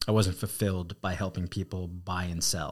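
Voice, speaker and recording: A man with an American accent speaks at a very deep, low pitch in a monotone, flat way. The recording is very clean, with a silent background. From New Jersey. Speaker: real estate team leader. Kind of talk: casual interview.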